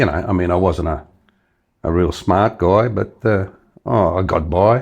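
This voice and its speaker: Here a man speaks with an Australian accent at a fairly slow pace. His pitch is very deep and low. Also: ordinary pitch variation. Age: 70s. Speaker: retiree. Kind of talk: interview answer.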